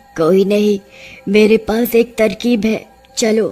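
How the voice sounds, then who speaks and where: A female-sounding, cartoonish character voice, fairly high-pitched for a woman. It moves at a fairly slow pace over faint background music. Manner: commanding.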